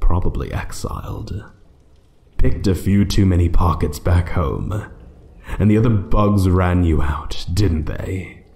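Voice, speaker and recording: At a fairly slow pace, a man puts on a character voice with a very deep, low pitch. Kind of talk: audio roleplay. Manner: slow, menacing, taunting.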